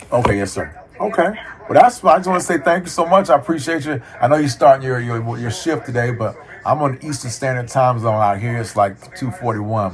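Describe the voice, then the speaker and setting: Against noticeable background noise, a man with a medium pitch talks at a fairly quick pace with lively intonation. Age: 50s. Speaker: student, military veteran and former telecom engineer. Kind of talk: casual conversation with a professor. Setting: call. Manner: hesitant, repeats words.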